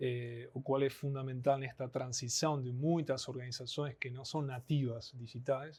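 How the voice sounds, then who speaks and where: A man with a fairly high pitch and an Argentine accent. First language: Spanish (speaking Portuguese). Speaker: anthropologist, network analysis specialist. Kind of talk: podcast interview.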